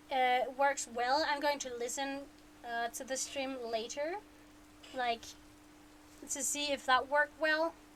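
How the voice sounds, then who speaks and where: A woman speaks in a high voice with ordinary pitch variation. Noticeable background noise runs under her words. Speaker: streamer reading a book aloud. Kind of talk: casual chat. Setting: live stream. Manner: hesitant, many fillers.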